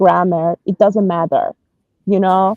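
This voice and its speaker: A woman speaks with a Persian accent in a dark, mellow tone. The sound is dry and close, with no echo. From Iran, Tehran. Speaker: personal branding consultant. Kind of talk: interview. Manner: hesitant, many fillers.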